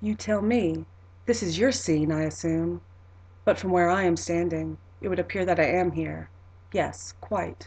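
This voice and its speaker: A woman uses a put-on character voice, soft-spoken and breathy. She talks at a moderate pace with long, frequent pauses. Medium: read story. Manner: gentle, warm, softly amused.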